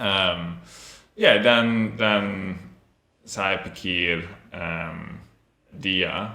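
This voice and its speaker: Very slow speech with long, frequent pauses, fairly even intonation and audible room echo. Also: man, fairly low pitch for a man. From Australia (Melbourne). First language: English (speaking Indonesian). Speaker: language student. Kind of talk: interview. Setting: podcast studio. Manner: halting, many fillers.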